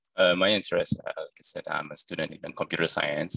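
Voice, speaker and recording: A man with a non-native accent talks at a fairly quick pace in a dry, close sound with no echo. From Cambodian family, born in Thailand. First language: not English. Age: young. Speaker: student, interview guest. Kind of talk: casual interview. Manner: halting, many fillers and repetitions.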